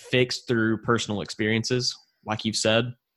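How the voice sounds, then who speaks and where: A man talks at a fairly quick pace with a medium pitch. His intonation is monotone and flat, on a very clean recording with a silent background. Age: 20s. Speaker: podcast host. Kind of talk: interview.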